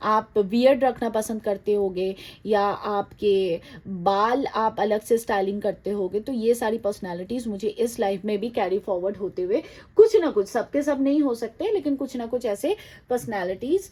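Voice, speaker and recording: A woman's fairly high voice carries a dark, mellow tone and ordinary pitch variation. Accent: non-native. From outside India. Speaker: tarot card reader. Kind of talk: tarot reading to viewers. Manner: halting, with hesitations and Hindi-English code-switching.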